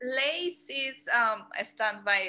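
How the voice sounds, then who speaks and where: A woman with a Mexican accent talks in a bright, sharp tone. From Mexico. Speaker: curator. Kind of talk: lecture Q&A. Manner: hesitant, many fillers.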